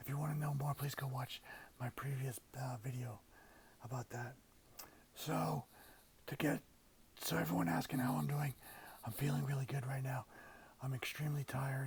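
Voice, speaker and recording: A man at medium pitch, ordinary pitch variation, moderate pace, long and frequent pauses, and noticeable background noise. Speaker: cancer patient vlogger. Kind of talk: casual vlog. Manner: halting.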